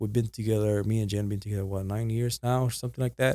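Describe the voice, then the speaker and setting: A man's dark, mellow voice with ordinary pitch variation, dry and close with no echo, on a very clean recording with a silent background. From Puerto Rico. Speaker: podcast guest. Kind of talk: casual chat.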